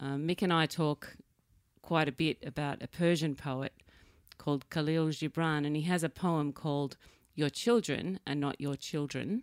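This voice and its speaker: A woman with an Australian accent speaks in a very deep, low voice at a moderate pace and fairly even intonation, in a dry, close sound with no echo and a very clean, silent background. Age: 50s. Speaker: podcast host. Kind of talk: casual interview.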